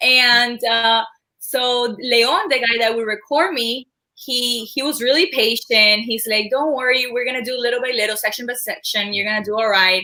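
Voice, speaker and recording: A woman speaks at a moderate pace with a high pitch and a bright, sharp tone. Her pitch varies in an ordinary way. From Cuba, raised in Miami area from age nine. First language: Spanish. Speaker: former cheerleader and journalist. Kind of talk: casual chat.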